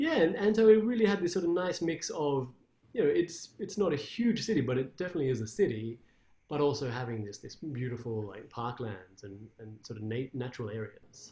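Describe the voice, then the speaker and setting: A man with an Australian accent talks at a fairly quick pace in a somewhat breathy, fairly high voice, his pitch swinging very widely. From Australia, Canberra. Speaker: classical guitarist. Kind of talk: interview.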